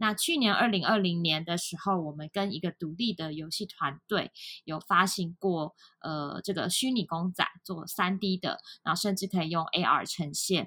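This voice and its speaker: A woman speaks at a moderate pace with ordinary pitch variation. Her voice is fairly low in pitch, with a bright, sharp tone. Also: dry, close sound with no echo, very clean recording, silent background. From Taiwan. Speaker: startup founder and CEO. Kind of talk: podcast interview.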